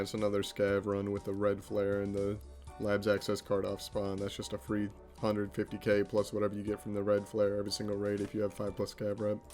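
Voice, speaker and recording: Music runs in the background while a man talks at a very fast pace. His intonation is monotone and flat. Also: fairly low pitch for a man. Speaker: gaming video creator. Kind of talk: gameplay commentary. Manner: casual.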